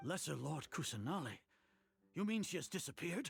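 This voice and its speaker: A man's raspy put-on character voice, fairly high in pitch with very wide swings, at a fairly quick pace over background music. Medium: video game. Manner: formal, commanding.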